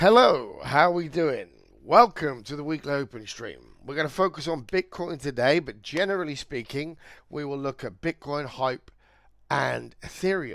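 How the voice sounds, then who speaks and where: Over a very clean recording with a silent background, a man speaks at a moderate pace in a fairly high pitch, with ordinary pitch variation and big swings in loudness. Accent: British. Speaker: crypto trader and streamer. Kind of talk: live trading stream. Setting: livestream. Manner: casual, conversational.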